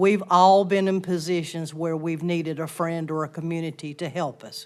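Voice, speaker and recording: A woman in a Southern US accent at a moderate pace, fairly low in pitch, with fairly even intonation. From US South. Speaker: resident giving public comment. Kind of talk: public comment speech. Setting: town council chamber. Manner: formal.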